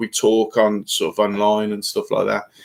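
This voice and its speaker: Speaking at a moderate pace, this man has a Birmingham accent and a medium pitch. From Birmingham, England. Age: 50s. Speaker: fishing YouTuber. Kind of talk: live stream chat. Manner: halting.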